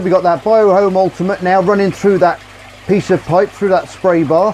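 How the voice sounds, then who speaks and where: Noticeable background noise surrounds a man speaking with an English accent at a moderate pace. His pitch is high, and his intonation stays fairly even. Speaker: aquarium hobbyist youtuber. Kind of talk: tutorial. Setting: outdoors by a pond. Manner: loud; casual.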